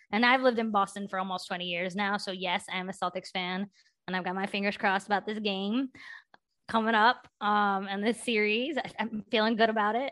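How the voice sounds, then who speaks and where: A woman's medium-pitched voice with an American accent, a bright, sharp tone, fairly even intonation and a fairly quick pace. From southern West Virginia. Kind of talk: casual interview.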